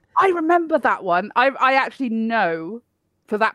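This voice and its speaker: A woman with a British accent speaks with very wide pitch swings, recorded dry and close with no echo. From Poland. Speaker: podcast co-host. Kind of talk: casual chat.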